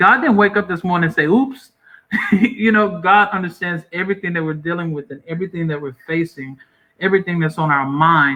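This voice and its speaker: A high-pitched man in a Southern US accent at a fairly quick pace. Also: ordinary pitch variation. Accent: Southern US country. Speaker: pastor. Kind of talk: interview, encouraging closing words.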